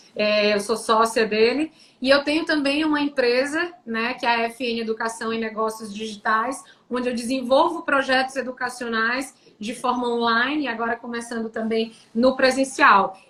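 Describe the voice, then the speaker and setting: The tone is bright and sharp, delivered at a moderate pace with fairly even intonation. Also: woman, high pitch for a woman. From Brazil, Teresina, Piauí. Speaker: tax lawyer and entrepreneur. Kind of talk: live-stream interview. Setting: online live stream.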